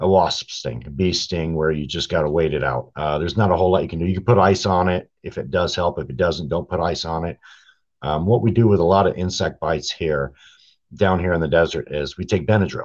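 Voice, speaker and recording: A fairly quick voice with an American accent, vocal fry and ordinary pitch variation over a quiet background. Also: man. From Europe, Air Force base childhood, then southern Arizona from about age ten. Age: 50s. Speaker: hunter and trail camera enthusiast. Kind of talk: casual interview.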